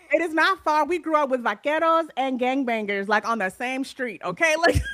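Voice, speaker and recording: A woman with an American accent, high pitch and lively intonation, over noticeable background noise. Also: moderate pace. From California, San Bernardino. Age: 40s. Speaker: romance author. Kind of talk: interview.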